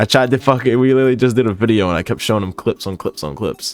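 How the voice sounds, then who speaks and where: A man mumbles at a very fast pace, his medium pitch moving with ordinary variation. The sound is dry and close with no echo, and music plays in the background. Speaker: gaming/commentary YouTuber. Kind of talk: casual chat, quiz reaction. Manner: mumbling; varies loud and soft.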